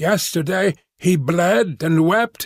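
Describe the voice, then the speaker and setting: A raspy, put-on character voice. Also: man. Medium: read story. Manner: broken, strange phrasing.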